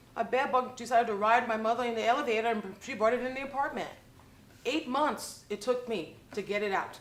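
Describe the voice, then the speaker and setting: A woman with an American accent speaks at a fairly quick pace in a high voice, her intonation fairly even, with audible room echo. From New York. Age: 60s. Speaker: public housing resident. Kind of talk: public comment at board meeting. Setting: public board meeting.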